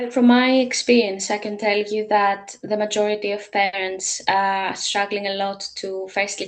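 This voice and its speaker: Using a Greek accent, a woman talks at a fairly slow pace with medium pitch. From Greece. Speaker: language teacher and parent coach. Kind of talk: testimony. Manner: hesitant, many filler sounds.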